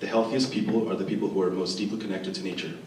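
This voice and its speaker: Noticeable background noise and audible room echo surround a man's voice. He speaks at a fairly low pitch with ordinary pitch variation. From Venezuela (Caracas), moved to US at nine. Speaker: Chinese medicine student, panelist. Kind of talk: prepared opening statement at a panel. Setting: event stage with audience, microphone. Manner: formal.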